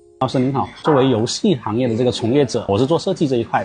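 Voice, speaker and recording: Clear music plays in the background as the speaker goes at a very fast pace with ordinary pitch variation. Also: man. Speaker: game industry designer. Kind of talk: interview question. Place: cafe.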